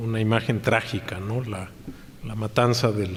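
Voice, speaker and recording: Audible room echo on a medium-pitched male voice, fairly slow in pace, with ordinary pitch variation. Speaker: lecturer. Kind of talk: lecture. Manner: halting with frequent repetitions.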